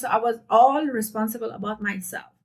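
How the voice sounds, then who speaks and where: A woman with a non-native accent speaks at a fairly high pitch, her intonation fairly even. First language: not English. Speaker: fitness youtuber. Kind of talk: casual heart-to-heart vlog talk. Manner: unscripted, conversational.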